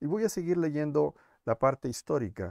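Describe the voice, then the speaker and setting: Against a quiet background, a man's dark, mellow tone carries lively intonation in a dry sound with no echo. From Mexico City. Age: 50s. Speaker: blogger and video host; blogger, video host. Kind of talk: monologue, historical memoir to camera. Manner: hesitant with fillers. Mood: reflective, earnest. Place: home room.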